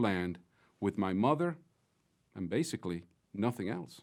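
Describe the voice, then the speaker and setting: A man with a Mexican accent talks at a moderate pace, his pitch swinging very widely. The recording is very clean, with a silent background. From Mexico (Mexico City). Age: 50s. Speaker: business executive, closing speaker. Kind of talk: closing keynote speech. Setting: virtual conference. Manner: formal.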